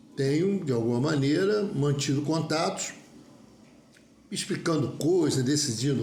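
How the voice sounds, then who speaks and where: A man speaks fairly slowly in a dark, mellow, somewhat breathy voice, fairly high in pitch with ordinary variation. Room echo is audible. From Rio de Janeiro (Olaria). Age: 70s. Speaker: mechanical engineer, union member. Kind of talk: personal statement video monologue. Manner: halting, with repetitions and self-corrections.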